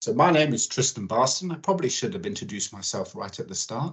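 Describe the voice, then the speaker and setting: Pitch swinging very widely, a man talks in a somewhat breathy voice. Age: 50s. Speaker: oil spill preparedness expert. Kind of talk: webinar presentation. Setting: online webinar.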